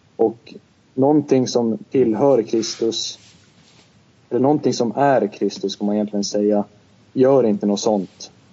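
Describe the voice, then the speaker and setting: Fairly slow speech from a man at a medium pitch. He leaves long, frequent pauses, and his pitch varies an ordinary amount. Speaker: podcast co-host; student. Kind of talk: casual discussion. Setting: Skype call.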